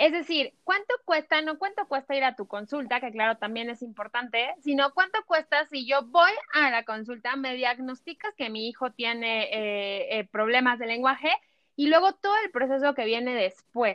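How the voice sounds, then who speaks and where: Speaking at a moderate pace, a woman uses lively intonation and a high pitch. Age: 30s. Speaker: podcast host. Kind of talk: casual chat.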